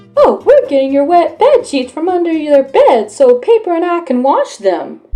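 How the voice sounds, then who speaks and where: Squeaky and put-on, a woman's character voice moves at a moderate pace over faint music in the background. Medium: read story. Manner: earnest.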